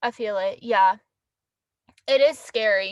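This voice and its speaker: Loud and animated, a woman speaks. The sound is dry and close, with no echo. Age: 20s. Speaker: livestreamer. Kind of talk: casual live stream chat. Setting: in a car.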